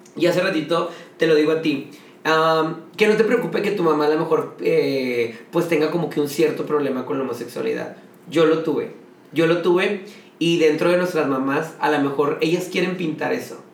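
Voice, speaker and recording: A man speaks at a moderate pace in a fairly high voice, with ordinary pitch variation and an animated tone. Audible room echo and noticeable background noise surround him. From Monterrey, Mexico. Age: 30s. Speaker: drag queen. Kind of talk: casual chat.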